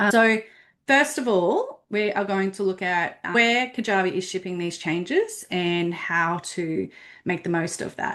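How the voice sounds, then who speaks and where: Against a quiet background, a woman with an Australian accent talks at a fairly slow pace. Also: medium pitch for a woman, ordinary pitch variation. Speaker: business platform consultant. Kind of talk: webinar presentation.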